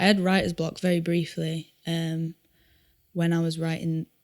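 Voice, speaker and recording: A woman speaks in a Yorkshire accent at a fairly low pitch. Her tone is dark and mellow, her intonation monotone and flat. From Yorkshire, northern England. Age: 20s. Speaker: singer-songwriter. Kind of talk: podcast interview. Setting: studio.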